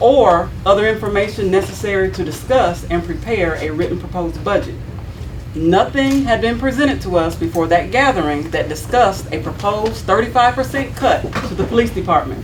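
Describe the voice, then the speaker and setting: The speaker talks at a fairly quick pace with lively intonation, against noticeable background noise and audible room echo. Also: woman, medium pitch for a woman. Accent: Southern US. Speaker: city board member (alderman). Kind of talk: prepared statement read at a public meeting. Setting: city board meeting. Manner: loud.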